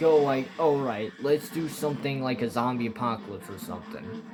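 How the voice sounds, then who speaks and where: This man's voice sits at a medium pitch. His intonation is lively, and background noise is noticeable. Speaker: gaming streamer. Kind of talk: casual gameplay commentary. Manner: halting, filler-heavy.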